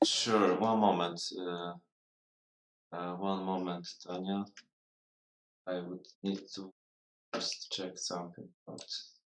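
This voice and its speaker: With a non-native accent, a man speaks at a very slow pace in a very deep, low pitch, his intonation monotone and flat, his loudness swinging widely, and his pauses long and frequent. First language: not English. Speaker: miniature sculptor. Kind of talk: casual live stream chat. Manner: halting, many fillers.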